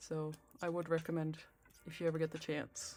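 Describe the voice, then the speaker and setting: A relaxed tone in a Dutch accent, with music playing in the background. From Netherlands. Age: adult. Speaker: knitting streamer. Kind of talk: casual chat. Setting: live stream with soft background music. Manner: soft-spoken; relaxed, halting with fillers.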